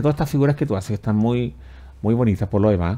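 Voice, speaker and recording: A man's voice with a dark, mellow tone. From Chile. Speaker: TV talk show host; talk show host. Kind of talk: interview. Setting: studio. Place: studio.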